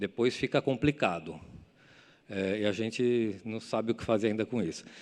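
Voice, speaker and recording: With a fairly low pitch, a man speaks with ordinary pitch variation. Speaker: architect. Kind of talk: lecture. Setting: stage with audience. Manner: fast; halting.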